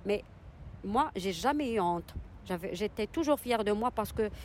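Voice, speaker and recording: The speaker is a woman. Her pitch is fairly high. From Morocco, Casablanca. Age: 40s. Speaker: single mother. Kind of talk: testimony. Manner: halting.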